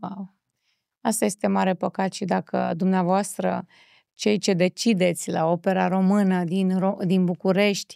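A woman speaks fairly slowly in a dark, mellow tone with monotone, flat intonation, the sound dry with no echo and the background quiet. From Romania. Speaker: talk show host. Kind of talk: interview. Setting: studio. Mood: warm, expressive. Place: studio. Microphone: studio mic.

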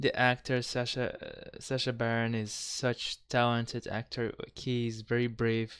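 A man with a Kazakh accent speaks at a fairly slow pace with hardly any pauses. His intonation is monotone and flat against a quiet background. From Kazakhstan. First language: not English. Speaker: reaction youtuber. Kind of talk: casual talk to camera. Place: home room. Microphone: headset.

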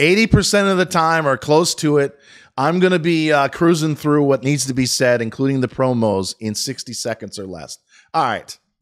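An animated tone with lively intonation at a moderate pace over a quiet background. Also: man, fairly high pitch for a man. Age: 50s. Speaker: stock market commentator and business owner; stock market commentator. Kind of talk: solo video commentary. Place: home room. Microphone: studio mic.

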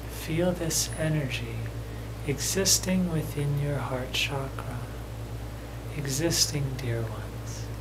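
Against noticeable background noise, a man speaks at a very slow pace with long, frequent pauses. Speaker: channeler and meditation guide. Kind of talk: guided meditation. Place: home room.

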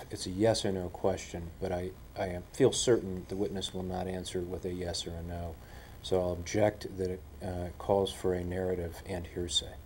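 Light background noise runs under a man's very deep, low voice. He sounds somewhat breathy, and his intonation is monotone and flat. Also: moderate pace. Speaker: attorney. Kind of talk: legal objections at a deposition. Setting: videotaped deposition room. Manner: formal. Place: meeting room.

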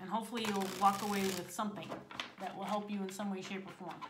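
Against noticeable background noise, a woman talks at a very fast pace. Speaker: tarot reader. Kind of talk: tarot reading intro, casual vlog chat. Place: home room. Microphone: phone near.

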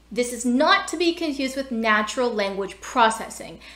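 Audible room echo surrounds a woman with an American accent who speaks in a high voice at a moderate pace with lively intonation. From US, Pennsylvania. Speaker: information architecture educator. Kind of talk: tutorial. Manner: thinking aloud while demonstrating. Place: home room. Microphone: webcam.

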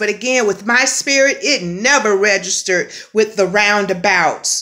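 A woman's voice with ordinary pitch variation over a quiet background. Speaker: spiritual vlogger. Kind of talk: casual spiritual vlog message. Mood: earnest, expressive. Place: home room. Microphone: phone near.

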